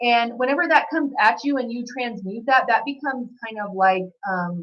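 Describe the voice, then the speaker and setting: Loud and high-pitched, a woman speaks with lively intonation. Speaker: psychic reader. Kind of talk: channeled reading monologue. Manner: fast.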